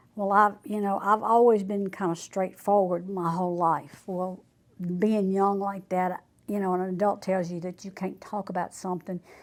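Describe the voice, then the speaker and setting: In a Louisiana accent, a woman speaks at a moderate pace and medium pitch with monotone, flat intonation. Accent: Southern US, Louisiana. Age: 70s. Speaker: churchgoer. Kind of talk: testimony.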